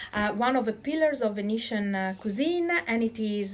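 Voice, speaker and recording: A woman in an Italian accent, with lively intonation and a moderate pace. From Venice, Italy. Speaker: podcast host. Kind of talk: casual interview. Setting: in a restaurant.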